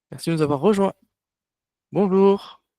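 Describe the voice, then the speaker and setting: The man has a dark, mellow tone. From France, Toulouse. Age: 30s. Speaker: online workshop facilitator. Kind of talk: online workshop presentation. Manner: halting, many hesitations.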